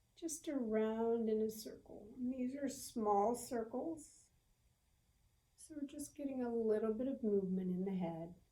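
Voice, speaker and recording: A woman with a Southern US accent speaks fairly slowly at a fairly high pitch with ordinary pitch variation. Her tone is gentle, calm, dark and mellow. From US South. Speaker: yoga instructor. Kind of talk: guided yoga class. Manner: slow, gentle.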